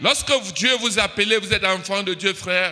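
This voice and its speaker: A man's high-pitched, raised and projected voice. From Cameroon. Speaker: preacher. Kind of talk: sermon. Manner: animated.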